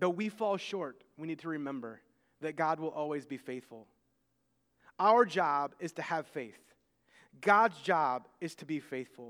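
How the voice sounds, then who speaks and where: The speaker has an American accent and lively intonation, with long, frequent pauses. The recording is very clean, with a silent background. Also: man, fairly high pitch for a man. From United States. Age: 30s. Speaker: pastor. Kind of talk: sermon. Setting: church.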